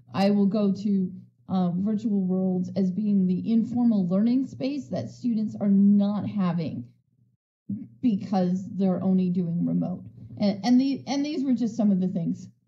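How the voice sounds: A woman speaks at medium pitch in a dark, mellow tone, with ordinary pitch variation. Her pace is fairly slow, and the room echo is audible.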